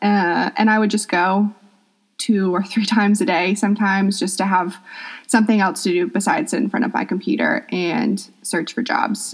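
A woman with a somewhat breathy, medium-pitched voice speaks at a moderate pace. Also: ordinary pitch variation. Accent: American. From US South, Atlanta, Georgia. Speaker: yoga teacher. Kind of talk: interview.

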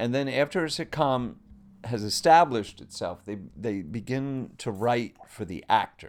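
With a slight Long Island accent, a man speaks at a fairly slow pace and medium pitch, using lively intonation. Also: very clean recording, silent background. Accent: slight Long Island New York. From Long Island, New York. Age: 50s. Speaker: actor and former clown. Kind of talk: casual chat.

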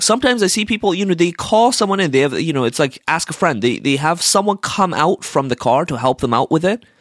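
The speaker talks at a very fast pace in an animated tone, recorded very cleanly against a silent background. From Iran. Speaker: solo podcaster ranting about daily annoyances. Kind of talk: casual rant monologue.

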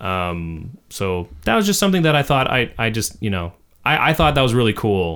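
Speaking at a moderate pace, a man with a medium pitch makes very wide pitch swings. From Canadian Prairies. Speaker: podcast co-host and songwriter. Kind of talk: casual chat. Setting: studio.

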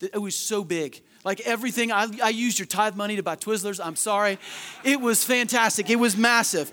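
In a raised, projected voice, a man with a high pitch and a bright, sharp tone speaks at a fairly quick pace with ordinary pitch variation. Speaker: pastor. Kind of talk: sermon. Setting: church; stage with audience. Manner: loud.

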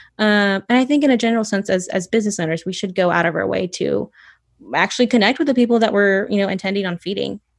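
Speaking very fast with an American accent, a woman uses ordinary pitch variation on a very clean recording with a silent background. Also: medium pitch for a woman. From US South, North Georgia. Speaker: baker and bakery owner. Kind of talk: casual interview.

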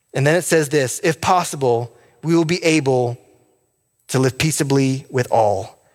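A man with an unremarkable speaking voice talks at a moderate pace. His pitch is fairly high, with ordinary pitch variation. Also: very even loudness. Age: 30s. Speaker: pastor. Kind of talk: sermon.

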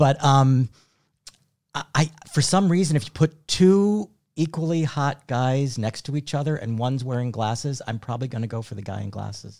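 With a plain, everyday voice, the speaker uses lively intonation at a moderate pace in a very clean recording with a silent background. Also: man, medium pitch for a man. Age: 60s. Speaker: activist and writer. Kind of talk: casual chat.

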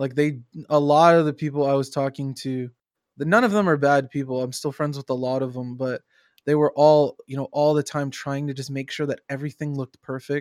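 On a very clean recording with a silent background and a dry, close sound with no echo, a man with a normal speaking voice talks fairly quickly at a fairly high pitch with fairly even intonation. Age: 20s. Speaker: game streamer and community manager. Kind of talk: casual chat. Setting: live stream.

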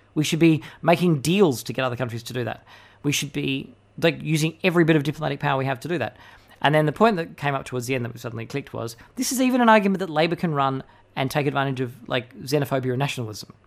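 A man with an Australian accent, fairly high-pitched, at a very fast pace with ordinary pitch variation, on a very clean recording with a silent background. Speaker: podcast host. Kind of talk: political commentary podcast. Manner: fast talker, ranting.

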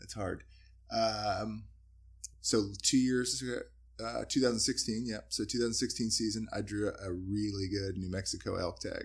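A man with an unremarkable speaking voice keeps a moderate pace and ordinary pitch variation. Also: fairly low pitch for a man. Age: 30s. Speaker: hunting outfitter and guide. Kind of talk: casual interview.

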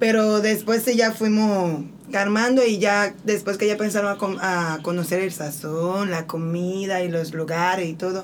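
In an unremarkable speaking voice, a woman talks at medium pitch with fairly even intonation. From Santo Domingo, Dominican Republic. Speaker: missionary. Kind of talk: testimony.

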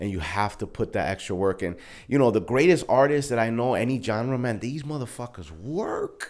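A man with a New York accent and medium pitch speaks at a moderate pace with lively intonation on a very clean recording with a silent background. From Brooklyn, New York. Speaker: music artist and entrepreneur. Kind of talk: casual interview chat. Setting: studio.

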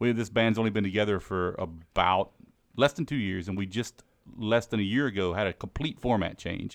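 Here a man speaks in a plain, everyday voice with an American accent. His pitch is fairly low with ordinary variation, and his pace is fairly quick. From US South, Mississippi Gulf Coast. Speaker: musician. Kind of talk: casual interview.

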